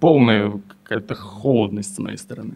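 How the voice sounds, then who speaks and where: A man is speaking. His pace is moderate. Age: 20s. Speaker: therapy client. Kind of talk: therapy session. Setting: studio.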